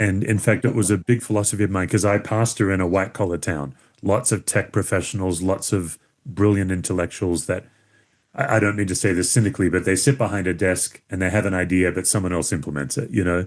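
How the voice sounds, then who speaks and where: Speaking very fast, a man with an Australian accent has a very deep, low voice. His pitch varies in an ordinary way, and the background is quiet. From Western Australia (Perth). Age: 50s. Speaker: pastor and author. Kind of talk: podcast interview. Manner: casual, conversational.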